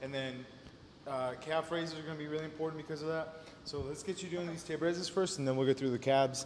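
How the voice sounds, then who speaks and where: A man at a fairly high pitch and very fast pace, with audible room echo and light background noise. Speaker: fitness coach. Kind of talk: workout tutorial. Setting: gym. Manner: animated. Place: gym. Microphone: camera far.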